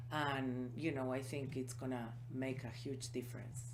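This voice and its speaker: A woman's very deep, low voice with a non-native accent, a moderate pace and audible room echo. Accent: foreign. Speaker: small business owner. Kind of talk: interview.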